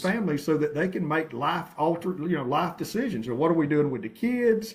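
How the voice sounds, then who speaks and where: With lively intonation, a man speaks in a fairly high pitch amid noticeable background noise. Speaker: jail services coordinator. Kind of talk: interview conversation.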